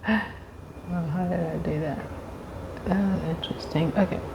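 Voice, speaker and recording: A woman talks at a very slow pace with a medium pitch. Noticeable background noise runs behind her. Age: 50s. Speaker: teacher and YouTuber. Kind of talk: casual talk to camera.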